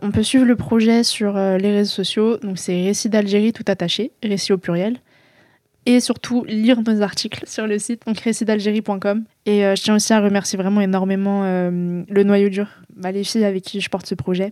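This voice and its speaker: Speaking at a moderate pace, a woman with a dark, mellow tone and medium pitch keeps her intonation fairly even while her loudness swings widely, on a very clean recording with a silent background. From France. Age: 20s. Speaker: author. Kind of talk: interview. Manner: halting.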